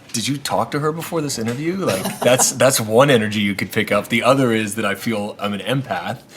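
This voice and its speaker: A man talks at a fairly quick pace. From Canada, Nova Scotia (Maritimes). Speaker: social entrepreneur and restaurateur. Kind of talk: interview conversation. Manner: animated.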